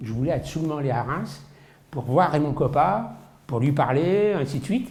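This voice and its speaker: Somewhat breathy, a man speaks at a fairly slow pace with audible room echo. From Paris region, France. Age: 60s. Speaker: football collector. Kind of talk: interview testimony. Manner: hesitant, many fillers.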